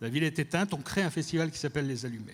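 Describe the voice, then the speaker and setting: The speaker is a man with a fairly high pitch. He talks at a very fast pace with ordinary pitch variation. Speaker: cultural director. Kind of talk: conference talk.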